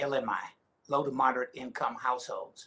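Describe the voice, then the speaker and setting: A man with a Texan accent, fairly high in pitch, his tone bright and sharp. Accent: Texan Southern US. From Texas. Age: 60s. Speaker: county elected official; witness. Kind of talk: testimony. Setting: video call. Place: office. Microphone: video call.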